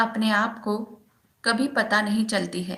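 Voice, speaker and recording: A woman's voice sits at a fairly high pitch with a bright, sharp tone. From Maharashtra, India. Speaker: meditation practitioner reading a guru's message. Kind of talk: reading aloud of a spiritual text.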